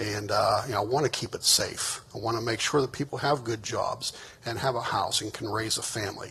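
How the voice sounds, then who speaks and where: Speaking at a fairly quick pace with an American accent, a man at medium pitch keeps his intonation fairly even over noticeable background noise. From Pittsburgh, western Pennsylvania. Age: 60s. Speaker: political candidate. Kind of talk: closing statement at candidate forum. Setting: stage with audience. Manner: halting, many fillers.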